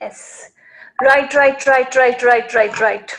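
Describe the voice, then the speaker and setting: With an Indian accent, a woman speaks at a high pitch. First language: Marwari. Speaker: storytelling and writing teacher for kids. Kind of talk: live online class for children. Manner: animated, repetitive coaxing.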